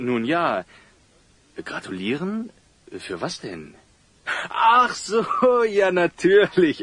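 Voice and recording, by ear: A man puts on a character voice with very wide pitch swings at a fairly high pitch. His tone is fairly bright with a slightly husky edge, and his pace is slow.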